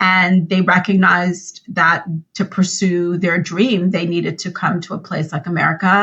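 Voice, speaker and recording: A woman speaks at a moderate pace in a medium-pitched, somewhat breathy voice. Her intonation stays fairly even. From US Northeast, Long Island, New York. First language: French. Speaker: nonprofit CEO. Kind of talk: interview.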